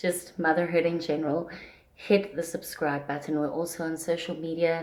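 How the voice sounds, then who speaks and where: A soft-spoken woman with a fairly low pitch talks at a moderate pace in a monotone, flat delivery. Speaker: parenting vlogger. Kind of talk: casual vlog talk. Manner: soft-spoken, speaking quietly; usually loud.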